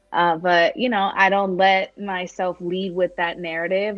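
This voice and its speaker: There is music in the background. A woman with a fairly low pitch speaks at a moderate pace. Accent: American. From New York. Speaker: women's community founder, speaker. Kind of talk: casual interview.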